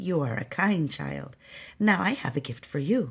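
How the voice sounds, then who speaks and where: A woman puts on a character voice with a very deep, low pitch, very wide pitch swings and a moderate pace. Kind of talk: bedtime story. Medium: read story. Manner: warm, knowing.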